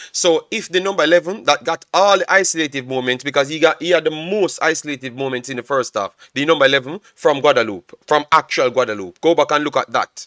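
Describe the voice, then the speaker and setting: Loud and very fast with hardly any pauses, a man with a fairly high pitch speaks in a bright, sharp tone, recorded dry and close with no echo. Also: ordinary pitch variation. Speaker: football analyst streamer. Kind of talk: live stream match analysis. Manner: loud, animated.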